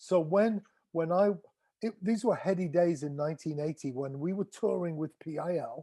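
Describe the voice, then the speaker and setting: A man's high, dark, mellow voice with an English accent, ordinary pitch variation and a moderate pace, in a dry, close sound with no echo. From England. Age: 60s. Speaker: drummer. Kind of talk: interview. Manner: halting.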